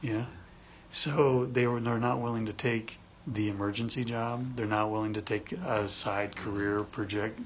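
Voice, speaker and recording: Somewhat breathy, a man speaks at a moderate pace. His pitch is medium and his intonation fairly even. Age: 40s. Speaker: podcast co-host, job search coach. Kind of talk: casual chat. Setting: studio, face to face.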